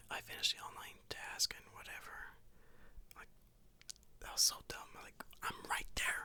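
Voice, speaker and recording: Whispering at a moderate pace, a man leaves long, frequent pauses. His loudness swings a lot. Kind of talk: ASMR travel story told to camera; casual talk to camera. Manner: casual, rambling, conversational with filler words.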